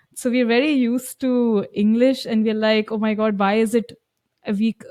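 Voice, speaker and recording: Fairly high-pitched woman at a moderate pace, with a dry, close sound and no echo. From India, Lucknow. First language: Hindi. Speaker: German language coach. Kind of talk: podcast interview.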